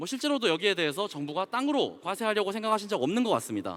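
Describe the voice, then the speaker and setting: This man's pitch is high and swings very widely. He talks at a very fast pace. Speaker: company CEO, conference speaker. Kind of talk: conference talk.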